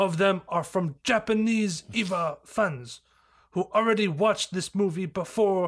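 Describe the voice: Plain reading aloud unfolds here, its pitch varying in an ordinary way.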